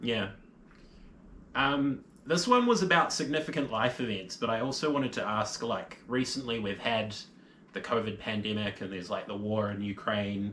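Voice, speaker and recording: This man has a normal speaking voice, pitched in the medium range. He keeps a moderate pace, and his pitch varies in an ordinary way. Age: 20s. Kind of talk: casual interview questions.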